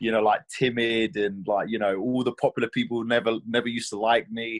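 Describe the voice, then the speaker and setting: A man with a strong British accent, medium pitch, fairly quick pace and fairly even intonation. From England. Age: 20s. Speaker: mixed martial arts fighter. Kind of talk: interview. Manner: hesitant, many fillers and repetitions.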